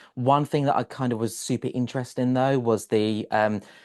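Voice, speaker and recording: A man with a British accent talks at a fairly quick pace. His pitch is medium, and the background is quiet. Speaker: podcast host. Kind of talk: interview.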